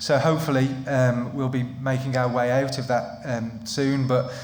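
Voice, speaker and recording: The voice, in a Midlands accent, has monotone, flat intonation. Audible room echo and noticeable background noise come through. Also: man. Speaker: employment lawyer. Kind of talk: seminar presentation. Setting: live seminar with in-person audience. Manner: hesitant with frequent ums and repetitions.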